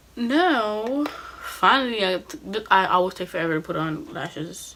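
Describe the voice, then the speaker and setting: Through noticeable background noise, a woman talks at a fairly slow pace with very wide pitch swings. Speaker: beauty vlogger. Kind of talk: tutorial. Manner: casual.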